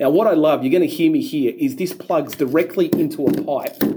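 The voice has an animated tone and an Australian accent. Its intonation is lively. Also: man. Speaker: pool industry podcast host. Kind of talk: casual podcast narration and interview. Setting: on location at a trade event.

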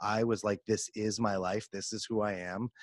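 A man with a normal speaking voice, fairly low pitch, fairly even intonation and a moderate pace, in a dry, close recording with no echo and a quiet background. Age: 30s. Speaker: podcast host and performance coach. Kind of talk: interview conversation. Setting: home recording studio.

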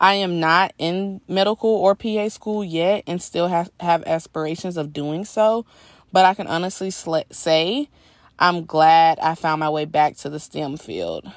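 A woman's fairly low voice in an American accent, a normal speaking voice with ordinary pitch variation, a fairly slow pace, a quiet background and a dry, close sound with no echo. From US South, Georgia. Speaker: software sales professional and aspiring PA. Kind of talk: personal testimony.

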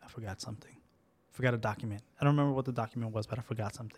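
A man speaks at a very fast pace, his voice somewhat breathy. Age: 30s. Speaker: podcast co-host. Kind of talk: casual chat.

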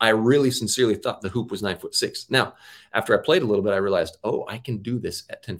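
A man with an American accent and an ordinary speaking voice talks fairly quickly at a medium pitch on a very clean recording with a silent background. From US Northwest, Auburn, Washington. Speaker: former professional basketball player. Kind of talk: interview.

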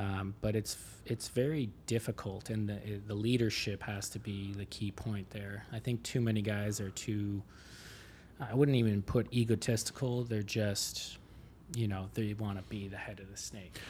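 A somewhat breathy man with a Canadian accent keeps his intonation fairly even. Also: fairly low pitch for a man, moderate pace. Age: 30s. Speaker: renovation contractor. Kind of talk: casual interview chat.

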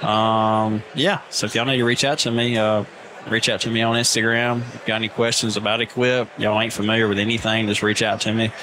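With an Alabama accent, a man talks at a very fast pace and a medium pitch, in a monotone, flat intonation. His loudness stays very even over noticeable background noise. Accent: Southern, Alabama. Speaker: lawn care business owner, podcast guest.

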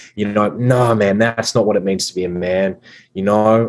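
Here a man with an Australian accent speaks at a fairly low pitch in a monotone, flat delivery. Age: 20s. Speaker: masculinity coach. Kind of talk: casual chat.

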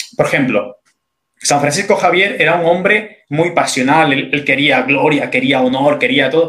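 A man with an ordinary speaking voice talks at a fairly slow pace, his loudness very even and his pitch variation ordinary. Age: 30s. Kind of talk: interview on faith and morality.

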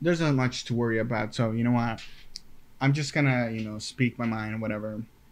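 Fairly quick male speech at medium pitch with fairly even intonation. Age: 20s. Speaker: podcast host. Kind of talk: casual solo monologue. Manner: halting, many fillers and repetitions.

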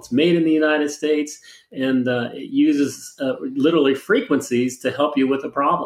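A man with an unremarkable speaking voice and a fairly high pitch keeps to a moderate pace. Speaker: product pitchman. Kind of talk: infomercial sales pitch. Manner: filler-heavy, rambling, stop-start.

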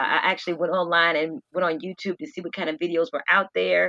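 With an American accent, a woman with a fairly low pitch, a bright, sharp tone and vocal fry talks at a fairly quick pace, in a dry, close sound with no echo over a quiet background. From US South, Norfolk, Virginia. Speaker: preacher and teacher. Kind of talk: testimony interview.

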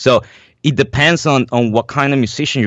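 This recording is very clean, its background silent. The speaker is a man with a Spanish accent. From Venezuela. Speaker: jazz drummer and teacher. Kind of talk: interview. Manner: halting, many fillers.

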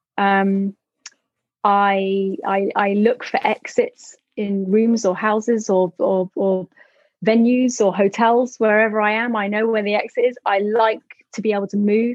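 With a London accent, a woman talks at a fairly slow pace in a monotone, flat intonation. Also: fairly high pitch for a woman. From London, England. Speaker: tour manager. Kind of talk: casual interview chat. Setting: video call. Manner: hesitant, many fillers and repetitions.

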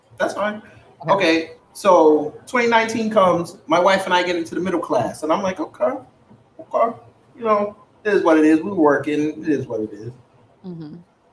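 A man with an American accent talks at a moderate pace in a high pitch, his intonation lively and his loudness swinging widely over noticeable background noise. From New York. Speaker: podcast host. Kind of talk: casual political debate. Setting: live stream on camera.

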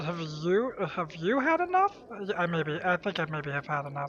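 A put-on character voice at middle pitch, over clear background noise. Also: fairly slow pace.

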